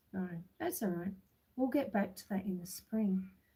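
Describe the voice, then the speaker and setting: This woman's voice sits at medium pitch, with a dark, mellow tone. It sounds somewhat breathy and relaxed. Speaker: homestead livestreamer. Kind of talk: casual livestream chat. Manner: relaxed, unhurried.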